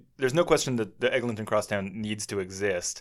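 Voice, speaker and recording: A man speaks in a normal speaking voice, fairly low in pitch, with ordinary pitch variation. The recording is very clean, with a silent background. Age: 30s. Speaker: podcast host. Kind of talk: casual chat.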